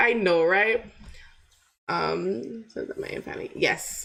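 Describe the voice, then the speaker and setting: Speaking at a very slow pace, a woman talks with a slight Jamaican accent. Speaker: motivational youtuber. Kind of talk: casual live stream chat. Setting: live stream. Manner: animated.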